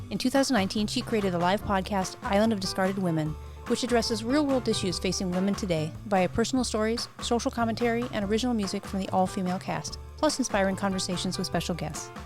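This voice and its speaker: With music in the background, a woman talks very fast at a medium pitch with very wide pitch swings. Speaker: podcast host. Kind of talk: podcast intro.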